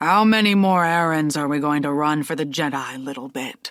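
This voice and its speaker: A put-on character voice sits at a middle pitch and moves at a moderate pace. The recording is very clean with a silent background. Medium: read story. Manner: relaxed, wry.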